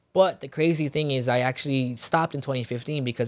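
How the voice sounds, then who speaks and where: Speaking fairly quickly, a man uses a plain, everyday voice at medium pitch. The recording is very clean, with a silent background. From Filipino-American background. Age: 30s. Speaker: entrepreneur and former football player. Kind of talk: casual chat.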